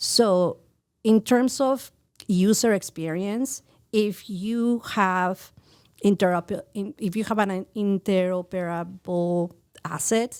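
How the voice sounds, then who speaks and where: On a very clean recording with a silent background, a woman with a Mexican accent speaks at a very slow pace, with medium pitch and ordinary pitch variation. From Mexico City. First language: Spanish. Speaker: VJ, art teacher and NFT creator. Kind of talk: podcast interview.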